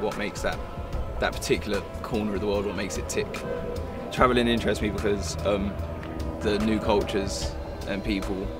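A man is speaking at a moderate pace. Loud music plays in the background. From Southwark, London. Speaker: unemployed young man. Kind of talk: documentary interview answer. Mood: relaxed, smiling. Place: garden.

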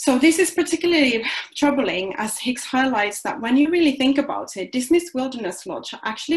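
Using a Finnish accent, a woman speaks at a high pitch with very wide pitch swings. Her pace is fairly quick. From Finland. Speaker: philosophy doctoral researcher. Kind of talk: lecture. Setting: video call. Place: home room. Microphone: webcam.

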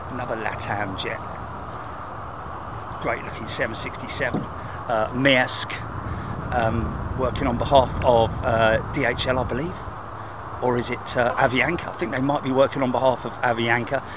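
Long, frequent pauses at a fairly slow pace, in a dry sound with no echo over noticeable background noise. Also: man. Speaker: live stream host. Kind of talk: live planespotting commentary. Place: open country.

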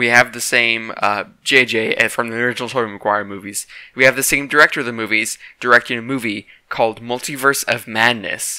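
A man speaks in a bright, sharp tone with ordinary pitch variation. The background is quiet. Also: dry sound with no echo. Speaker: YouTuber discussing movies and games; YouTuber discussing movies. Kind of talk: casual vlog commentary. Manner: halting, stuttering. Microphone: cheap mic, glitches.

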